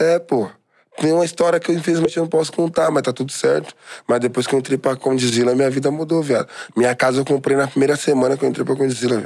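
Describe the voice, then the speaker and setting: Talking at a very fast pace, a man with a fairly high pitch keeps very even loudness and uses ordinary pitch variation. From São Paulo East Zone, Brazil. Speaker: funk singer. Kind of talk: casual chat.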